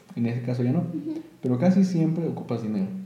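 With a Mexican accent, a man speaks at a fairly quick pace and ordinary pitch variation, with audible room echo. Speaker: podcast host. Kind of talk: casual chat.

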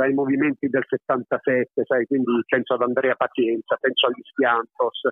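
Using an unremarkable speaking voice, a man talks at a moderate pace in a fairly high pitch with fairly even intonation. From Apulia, southern Italy (moved from Naples at six). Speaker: comedian and actor. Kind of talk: phone interview. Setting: phone call.

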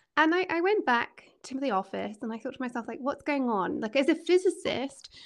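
A woman speaks at a fairly quick pace in a Scottish accent, her pitch high and her intonation lively. The background is quiet. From Scotland. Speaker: executive coach. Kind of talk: interview.

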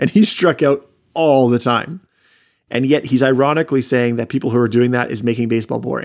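Captured in a very clean recording with a silent background, a man talks at a fairly quick pace and medium pitch in an unremarkable speaking voice with ordinary pitch variation. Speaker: podcast host. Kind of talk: casual banter.

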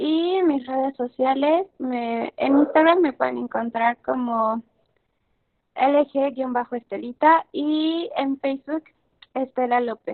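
A woman speaks at a very slow pace. Her pitch is high with ordinary pitch variation. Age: 20s. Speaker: podcast guest. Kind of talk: interview.

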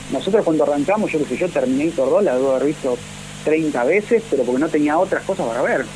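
The speaker has an Argentine accent and talks very fast. Background noise is noticeable. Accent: Rioplatense Argentine Spanish. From Argentina. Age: 40s. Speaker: film director. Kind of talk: interview.

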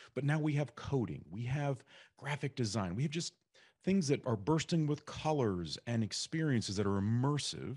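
A man's normal speaking voice, medium in pitch, with lively intonation and a moderate pace. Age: 40s. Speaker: podcast host. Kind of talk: interview.

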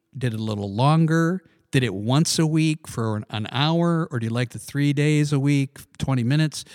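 Heard in a dry, close sound with no echo on a very clean recording with a silent background, a man with an ordinary speaking voice talks at a fairly high pitch with ordinary pitch variation. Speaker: podcast host. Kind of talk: casual religious discussion. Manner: chatty.

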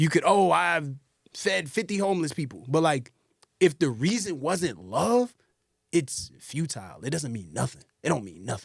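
Very wide pitch swings mark this man's fairly high voice at a moderate pace. The recording is very clean, with a silent background. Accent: American. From US South, Atlanta, Georgia. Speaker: rapper and producer. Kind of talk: casual interview chat.

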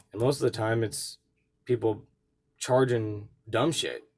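On a very clean recording with a silent background, a man speaks at a medium pitch, somewhat breathy, with ordinary pitch variation. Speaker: podcast host, reseller. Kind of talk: casual monologue.

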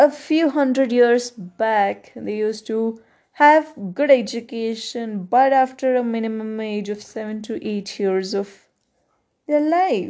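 A woman with a Kannada accent, fairly high in pitch, with a dark, mellow tone, very slow delivery, ordinary pitch movement, big swings in loudness, and a quiet background. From India. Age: 20s. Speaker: podcaster, student. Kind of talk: solo monologue.

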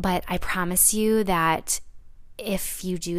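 Speaking very slowly, a woman has a warm tone and a medium pitch. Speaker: solo wellness podcast host. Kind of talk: casual solo monologue. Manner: warm, laughs often; hesitant, many fillers.

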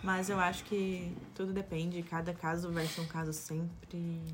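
Somewhat breathy and fairly low-pitched, a woman talks with fairly even intonation while audible room echo fills the recording. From Brazil. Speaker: host's fiancée. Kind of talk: casual chat.

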